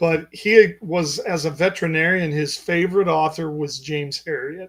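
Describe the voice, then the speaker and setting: It is a plain, everyday voice from a man with a fairly high pitch. His intonation is fairly even and his pace moderate. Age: 60s. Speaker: physician and author. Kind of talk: interview. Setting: podcast.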